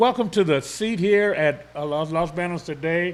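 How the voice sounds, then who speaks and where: A man speaks loudly in a high pitch. His pace is moderate. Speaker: local TV morning show host. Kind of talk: live talk show interview.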